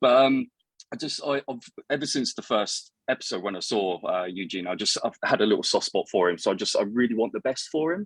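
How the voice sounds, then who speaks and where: A man speaks at a fairly quick pace in a British accent. The sound is dry and close, with no echo. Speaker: guest co-host. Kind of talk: casual chat. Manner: halting, repeats words.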